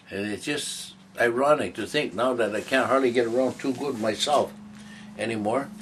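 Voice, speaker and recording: Noticeable background noise accompanies a man speaking. His voice sits at medium pitch, and his pace is moderate. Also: ordinary pitch variation. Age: 70s. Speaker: interviewee sharing life story. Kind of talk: interview. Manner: halting, repetitive.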